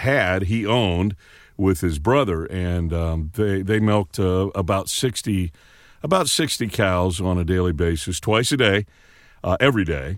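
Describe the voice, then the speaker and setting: With an American accent, a man talks at a fairly low pitch with ordinary pitch variation. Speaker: radio veteran and voice actor. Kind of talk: casual interview. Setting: small home recording booth, remote.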